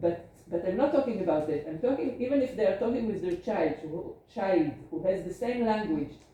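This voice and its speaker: With an Israeli accent and lively intonation, the speaker talks at a fairly quick pace with hardly any pauses, over noticeable background noise and audible room echo. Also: woman, medium pitch for a woman. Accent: Hebrew. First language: Hebrew. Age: 50s. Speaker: geriatrician. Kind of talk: lecture.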